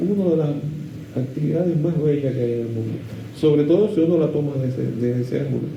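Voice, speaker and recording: A man's voice sits fairly high, with ordinary pitch variation. Background noise is noticeable and room echo is audible. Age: 70s. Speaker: composer and music teacher. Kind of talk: interview. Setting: at home. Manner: halting. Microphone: poor audio.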